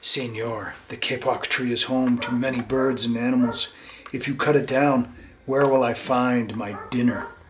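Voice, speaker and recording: Putting on a growling character voice, a man talks at a medium pitch and a moderate pace. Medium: read story.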